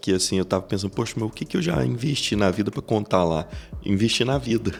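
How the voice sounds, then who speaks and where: A man is speaking. His pace is fairly quick. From Brazil, Goiás interior near Iporá. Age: 30s. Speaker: business executive. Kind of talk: podcast interview.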